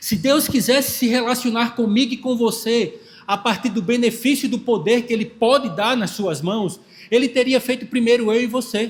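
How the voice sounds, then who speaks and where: Here a man speaks at a moderate pace. His pitch is high. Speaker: pastor. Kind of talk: sermon.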